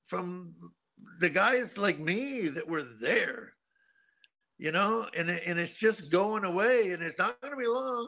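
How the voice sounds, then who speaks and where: Speaking at a fairly slow pace in a raised, projected voice, a man uses lively intonation with a high pitch and a bright, sharp tone. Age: 70s. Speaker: retired motocross racer and riding teacher. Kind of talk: interview. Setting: remote link to studio.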